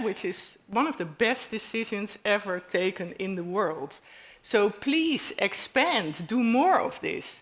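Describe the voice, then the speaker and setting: A woman with a Dutch accent speaks fairly slowly at a fairly high pitch, her intonation lively. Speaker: panel speaker. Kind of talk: panel discussion.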